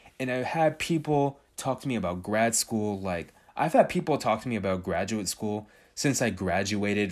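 Using a normal speaking voice, a man speaks at a fairly slow pace and medium pitch with lively intonation. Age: 20s. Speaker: solo podcast host. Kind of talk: casual monologue.

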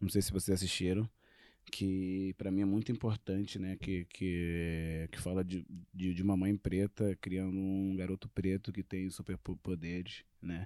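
Dark and mellow, a man's very deep, low voice comes through flat and monotone in a dry, close recording with no echo and a very clean, silent background. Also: fairly slow pace. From Angola. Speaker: actor and filmmaker. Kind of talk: casual chat. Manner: halting, many repetitions.

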